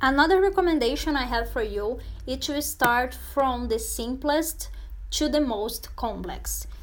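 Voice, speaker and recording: Audible room echo fills the space as a woman talks fairly slowly. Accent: Portuguese. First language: Portuguese. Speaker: Portuguese language teacher. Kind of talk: tutorial. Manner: halting, many fillers and repetitions.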